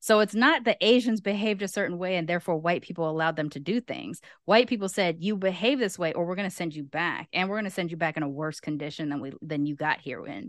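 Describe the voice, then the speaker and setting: In a quiet background, a woman with an American accent and a fairly low pitch talks at a very fast pace with lively intonation and hardly any pauses. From Los Angeles, US. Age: 40s. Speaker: content creator and travel show host. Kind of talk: casual chat.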